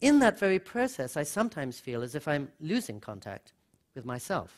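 Against a quiet background, a man speaks at a moderate pace with very wide pitch swings. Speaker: author and speaker; speaker. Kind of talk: lecture. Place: hall. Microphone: podium.

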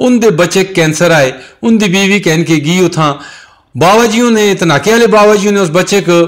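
A man with ordinary pitch variation. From Pakistan, Tanawal area near Mansehra. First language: Hindko (speaking Hindi). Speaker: local religious speaker. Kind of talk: testimony.

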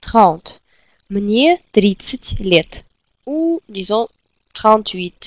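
A Russian accent in a dry, close sound with no echo. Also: woman. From Russia, Siberia. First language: Russian (speaking French). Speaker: language teacher. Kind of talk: tutorial. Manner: slow, repetitive drilling.

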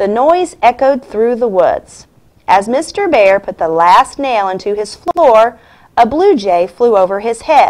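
A passage read aloud in a natural voice

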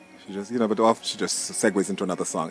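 The sound is dry and has no echo. Music is clearly audible behind it. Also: man. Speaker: guest. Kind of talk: casual vlog chat. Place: open country. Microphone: phone near.

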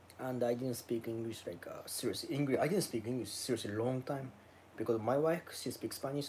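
The tone is slightly mellow, with ordinary pitch variation. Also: man.

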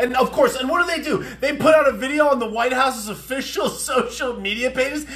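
Projecting his voice at an extremely high pitch, a man speaks at a fairly quick pace with ordinary pitch variation. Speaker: comedy commentator. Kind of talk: political commentary rant to camera. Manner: fast, ranting, exasperated. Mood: sarcastic, exasperated. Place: home room. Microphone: phone near.

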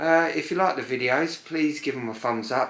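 Over audible room echo, a man talks at a fairly slow pace with ordinary pitch variation. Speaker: home vlogger. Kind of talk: casual vlog chat. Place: home room. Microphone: camera far.

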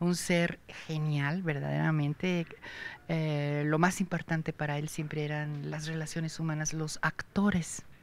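Woman's very deep, low voice, monotone and flat, at a fairly slow pace over light background noise. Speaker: actress. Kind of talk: interview answer. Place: stage. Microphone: handheld.

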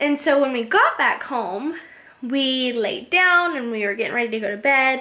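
A woman talks at a moderate pace with a high pitch. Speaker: vlogger. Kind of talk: casual vlog chat. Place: kitchen. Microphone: phone near.

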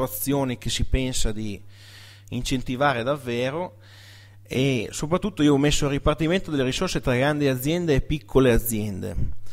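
The background is quiet while a man speaks at a moderate pace. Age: 20s. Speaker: dairy farmer. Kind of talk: presentation. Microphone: podium.

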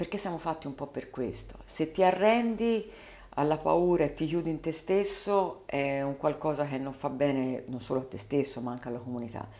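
A woman talks at a moderate pace with a very deep, low pitch. Her tone is dark and mellow, with lively intonation. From Tuscany, Prato area (Carmignanello); Tuscany. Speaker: politician, mayoral candidate; politician, candidate. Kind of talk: interview. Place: studio. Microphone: studio mic.

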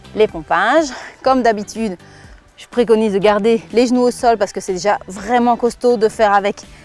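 Over faint background music, a woman talks at a fairly quick pace, and the sound is dry with no echo. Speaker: fitness coach. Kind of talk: tutorial. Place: garden.

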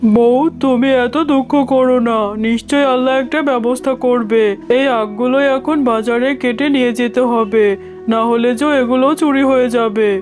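This cartoonish character voice sits at a fairly high pitch and moves at a moderate pace over clear background noise.

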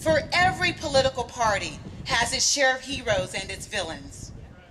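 Loud and at a high pitch, a woman with an American accent speaks at a fairly slow pace, her pitch swinging very widely over light background noise. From East Texas. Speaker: political commentator; speaker, commentator. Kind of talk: rally speech. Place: street. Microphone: podium.

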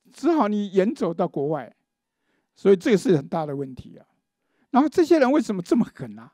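Over a quiet background, a man speaks with a high pitch and a dark, mellow tone at a fairly quick pace. His pitch swings very widely and his loudness shifts greatly, in a dry sound with no echo. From Taiwan. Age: 60s. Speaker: law professor and forum host; press conference host or speaker. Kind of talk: panel discussion speech. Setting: legislature meeting room. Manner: halting with many fillers. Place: meeting room. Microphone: handheld.

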